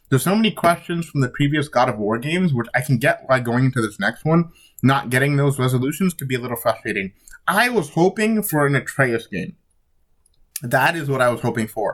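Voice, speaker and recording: Lively intonation marks this man's fairly high voice. He talks at a fairly quick pace and sounds somewhat breathy. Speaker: gaming YouTuber. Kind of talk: casual commentary.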